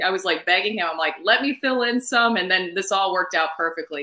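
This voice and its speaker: Talking at a very fast pace, a woman uses a medium pitch and lively intonation in an American accent. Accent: Southern, comes out at times. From US South, Nashville, Tennessee. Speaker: sportscaster and radio co-host. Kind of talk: casual interview. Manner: animated.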